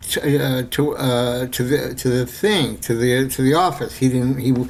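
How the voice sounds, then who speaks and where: Audible room echo surrounds a man talking at a fairly slow pace with an American accent. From New York City. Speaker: screenwriter and filmmaker. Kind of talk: casual interview storytelling. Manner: halting with many repetitions and fillers.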